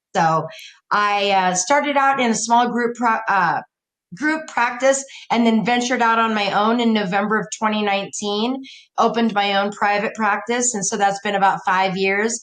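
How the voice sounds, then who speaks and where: At a moderate pace, a woman with a plain, everyday voice speaks at a fairly high pitch, showing ordinary pitch variation. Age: 60s. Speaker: counselor and coach, podcast guest. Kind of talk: casual interview.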